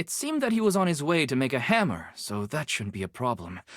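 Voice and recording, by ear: Putting on a character voice, a woman talks at a fairly quick pace with an extremely low pitch and very wide pitch swings, in a very clean recording with a silent background.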